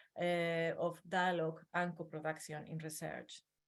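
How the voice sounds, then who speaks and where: Fairly slow speech in a strong Spanish accent. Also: woman. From northern Spain. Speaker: academic researcher. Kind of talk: webinar presentation.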